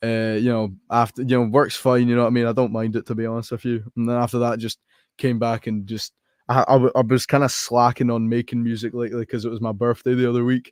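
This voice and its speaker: With an American accent, a man talks at a very fast pace in a monotone, flat delivery at medium pitch, the sound dry and close with no echo. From Scotland. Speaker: rapper. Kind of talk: casual chat. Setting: live online podcast call.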